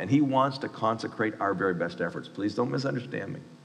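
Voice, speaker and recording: Amid audible room echo and noticeable background noise, a man talks at a very fast pace with very wide pitch swings. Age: 50s. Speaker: university chapel speaker, pastor. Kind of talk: sermon.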